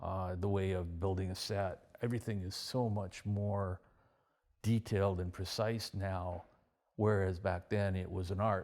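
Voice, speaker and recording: A monotone, flat delivery with a Canadian accent on a very clean recording with a silent background. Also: man, fairly low pitch for a man. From British Columbia, Canada. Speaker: retired stunt performer and coordinator. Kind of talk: interview. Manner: halting, many repetitions and fillers.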